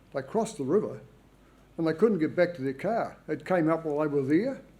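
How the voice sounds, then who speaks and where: In a New Zealand accent, a man speaks with a dark, mellow tone and ordinary pitch variation. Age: 70s. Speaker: public submitter at planning hearing. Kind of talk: hearing submission.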